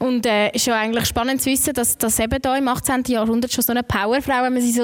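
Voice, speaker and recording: A woman with a high pitch speaks very fast, with hardly any pauses. Her intonation is monotone and flat, and her loudness is very even. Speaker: podcast host. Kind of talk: live podcast conversation. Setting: museum with live audience.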